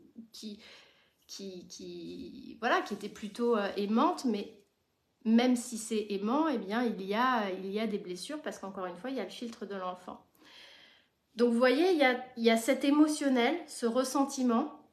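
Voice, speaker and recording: Lively intonation and big swings in loudness from a fairly high-pitched woman at a fairly slow pace, with audible room echo. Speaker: therapist and supervisor. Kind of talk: live stream talk. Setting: live stream.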